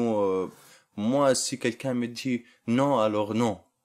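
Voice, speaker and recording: This is a man speaking with fairly even intonation. The recording is very clean, with a silent background. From Libya. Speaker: refugee job seeker. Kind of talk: interview. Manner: halting.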